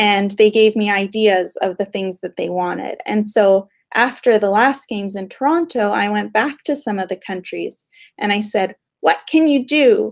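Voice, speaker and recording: With a Canadian accent and an unremarkable speaking voice, a woman talks at medium pitch. Her pace is moderate and her pitch variation ordinary. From Western Canada, Calgary. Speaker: behavioural scientist. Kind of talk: Q&A with school class.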